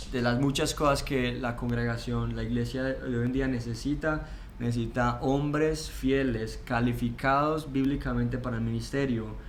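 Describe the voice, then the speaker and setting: A man with a Colombian accent talks at a moderate pace with hardly any pauses. Audible room echo and noticeable background noise surround his voice. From Colombia, Pereira (coffee region). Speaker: seminary student. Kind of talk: interview.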